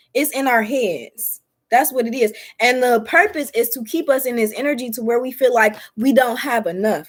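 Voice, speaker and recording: In a Detroit accent, a woman with a high pitch and an animated tone speaks at a moderate pace with ordinary pitch variation. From US Midwest, Detroit. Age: 20s. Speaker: tarot reader and spiritual content creator. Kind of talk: tarot reading. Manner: casual.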